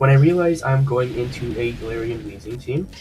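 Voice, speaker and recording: Against music in the background, a man speaks at a moderate pace with ordinary pitch variation. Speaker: gaming commentator. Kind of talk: game match commentary.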